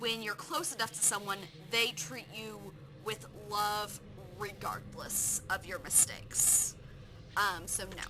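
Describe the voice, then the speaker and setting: Lively intonation at a fairly slow pace, with long, frequent pauses and noticeable background noise. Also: woman, medium pitch for a woman. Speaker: gaming streamer. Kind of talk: live game stream, reading questions aloud and answering.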